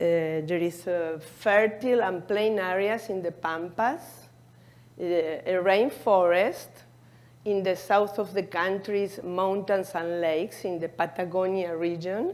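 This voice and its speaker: Speech with fairly even intonation comes at a fairly slow pace with an Argentine accent. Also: woman, medium pitch for a woman. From Argentina. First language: Spanish. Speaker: cardiologist. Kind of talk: conference presentation. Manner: halting.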